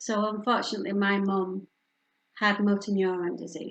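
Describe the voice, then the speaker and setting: A woman speaks in a northern English accent. Her pitch is fairly high and her pace moderate. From northern England, Yorkshire. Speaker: bereavement and palliative care speaker. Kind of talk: public talk.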